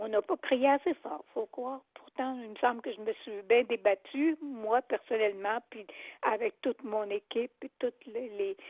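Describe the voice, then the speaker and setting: Speaking at a fairly slow pace with a Quebec accent, a woman shows ordinary pitch variation and big jumps in volume. The recording is very clean and dry, close and echo-free, with a silent background. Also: fairly high pitch for a woman. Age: 80s+. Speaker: retired seniors' rights advocate. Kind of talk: interview answer.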